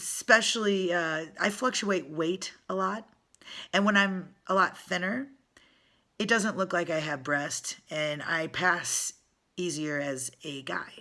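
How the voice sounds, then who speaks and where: A woman with a bright, sharp tone and fairly low pitch speaks very slowly with ordinary pitch variation. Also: very clean recording, silent background. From US Midwest. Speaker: spiritual vlogger and singer-songwriter. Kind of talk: personal vlog monologue. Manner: conversational, with fillers and restarts.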